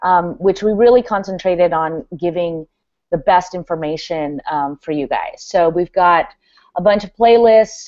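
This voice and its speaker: A woman with a fairly low pitch talks in a normal speaking voice at a moderate pace, with ordinary pitch variation. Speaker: guest on developer team, presenting new hub. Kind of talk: live video hangout, product walkthrough. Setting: video call. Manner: many filler words (um, uh).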